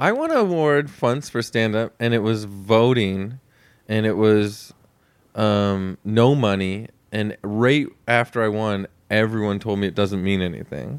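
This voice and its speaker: A man's fairly low voice at a fairly slow pace with ordinary pitch variation, on a very clean recording with a silent background. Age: 40s. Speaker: podcast host and stand-up comedian. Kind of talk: casual chat. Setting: hotel room. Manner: animated.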